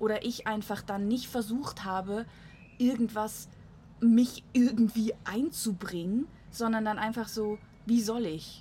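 Very slowly and in a very clean recording with a silent background, a woman speaks with a dark, mellow, somewhat breathy tone, fairly high pitch and fairly even intonation. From Switzerland. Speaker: podcast host. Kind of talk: casual chat. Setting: on a balcony in Munich.

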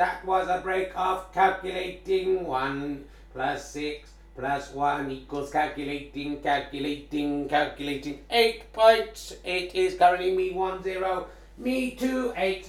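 A robotic, put-on character voice at a very slow pace, with long, frequent pauses, slight echo and light background noise. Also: man, high pitch for a man. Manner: mechanical, announcing score.

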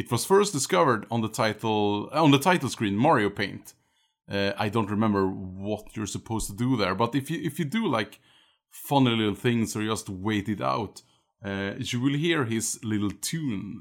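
Lively intonation marks this man's ordinary speaking voice. His pitch is medium and his pace moderate. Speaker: guest gamer. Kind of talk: casual chat.

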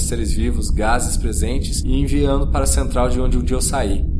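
Through noticeable background noise, a man with a very deep, low voice speaks at a fairly quick pace in a solemn, deadpan tone. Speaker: narrator reading a short story. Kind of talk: scripted first-person sci-fi narration, dramatic and reflective. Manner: solemn, introspective, deadpan.

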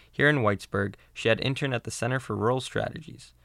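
The man speaks very fast with vocal fry. The recording is very clean and dry, close with no echo and a silent background. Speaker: podcast host. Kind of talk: scripted narration. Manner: formal.

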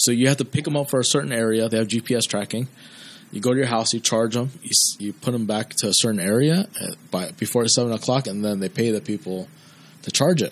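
In a plain, everyday voice, a man with an American accent speaks at a fairly quick pace, at medium pitch with ordinary pitch variation. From US. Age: 30s. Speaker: photographer and vending business owner. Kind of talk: casual chat. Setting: photography studio.

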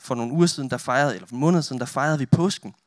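This is a man speaking. His intonation is lively. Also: very clean recording, silent background. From northern Denmark. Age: 20s. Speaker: youth pastor and photographer. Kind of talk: sermon with prayer. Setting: church with audience.

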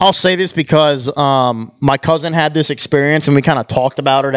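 A man with a normal speaking voice talks at a fairly quick pace in a fairly high pitch, against a quiet background. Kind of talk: casual banter among friends.

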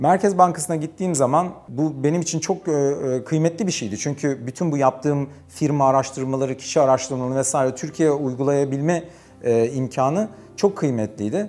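An ordinary speaking voice from a man, fairly high in pitch, with ordinary pitch variation and a moderate pace. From Turkey, Bursa (Karacabey). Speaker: economics professor. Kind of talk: interview storytelling.

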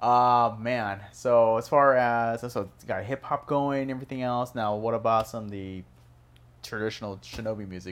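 A man speaks at a medium pitch with an American accent and fairly even intonation. His pace is moderate, in an ordinary speaking voice. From Chinese American, transplant to Phoenix. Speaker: podcast host and music producer. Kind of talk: casual interview chat. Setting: studio.

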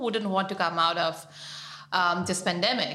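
A woman's medium-pitched voice, with audible room echo and noticeable background noise. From Pakistan. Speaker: writer and activist. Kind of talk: personal storytelling interview.

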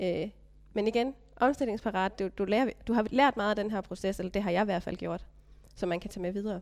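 Medium in pitch and quick-ish in pace, a woman speaks with fairly even intonation in an ordinary speaking voice. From Denmark, Funen (Stige, Odense). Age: 30s. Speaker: vocational business graduate, mother. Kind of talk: casual interview. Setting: meeting room.

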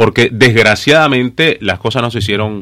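This man speaks with a Nicaraguan accent. His voice sits at a medium pitch with a bright, sharp tone. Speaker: journalist. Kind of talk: political interview. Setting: radio studio.

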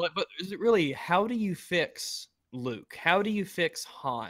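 A man with an American accent and lively intonation, in a very clean recording with a silent background and a dry, close sound free of echo. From US South. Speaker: YouTuber. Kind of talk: casual chat.

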